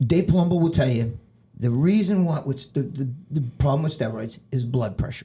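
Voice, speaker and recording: A man speaks at a moderate pace with lively intonation. His fairly high voice is somewhat breathy, with a dark, mellow tone. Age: 60s. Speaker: bodybuilder. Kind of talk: podcast interview. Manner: animated; repetitive, stammering.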